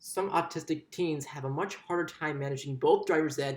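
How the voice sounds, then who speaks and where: A somewhat breathy man's voice, fairly high in pitch, at a moderate pace with fairly even intonation. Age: 20s. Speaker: student giving a speech. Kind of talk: persuasive speech. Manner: halting, with restarts.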